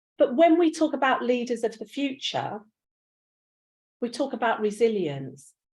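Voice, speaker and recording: A woman with a London accent, high-pitched and lively in intonation, at a fairly slow pace. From East End of London. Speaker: university pro vice chancellor. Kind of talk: conference speech. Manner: animated.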